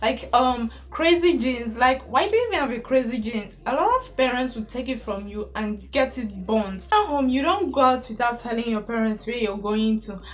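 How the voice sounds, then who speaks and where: A woman with a Nigerian accent speaks at a high pitch and moderate pace with ordinary pitch variation and hardly any pauses, over noticeable background noise. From Nigeria (Igbo). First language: Igbo. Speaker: YouTuber. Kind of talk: casual vlog monologue.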